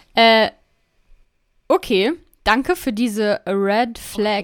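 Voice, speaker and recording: Lively intonation in a woman's fairly high-pitched voice. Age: 20s. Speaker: podcast co-host. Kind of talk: casual chat. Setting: home studio with headphones.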